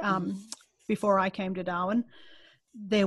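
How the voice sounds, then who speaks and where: A somewhat breathy woman's voice over a quiet background. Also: dry sound with no echo. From Australia. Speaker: skeptic group leader and podcast reporter. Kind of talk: interview answer. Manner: casual, conversational. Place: home room. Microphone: video call.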